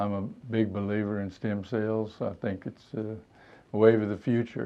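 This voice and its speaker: Here a man speaks with a fairly low pitch. His intonation is monotone and flat. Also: moderate pace. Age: 70s. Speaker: patient giving testimonial. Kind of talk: testimony. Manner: hesitant, many fillers.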